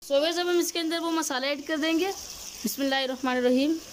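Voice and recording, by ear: A woman speaks at a fairly quick pace in a high voice, with ordinary pitch variation.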